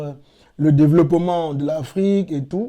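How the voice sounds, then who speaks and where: Speech in a Cameroonian accent with a dark, mellow tone at a fairly slow pace, on a very clean recording with a silent background. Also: man. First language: Yemba (speaking French). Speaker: cultural advocate, platform founder. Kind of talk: interview.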